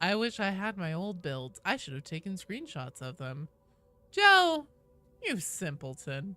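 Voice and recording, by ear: The clip is someone reading aloud in a natural voice.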